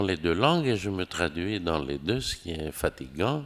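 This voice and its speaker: Recorded very cleanly against a silent background, a man with a Greek accent speaks at a very slow pace with very wide pitch swings. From Greece. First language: Greek (speaking French). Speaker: novelist. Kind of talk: interview. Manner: hesitant, with fillers.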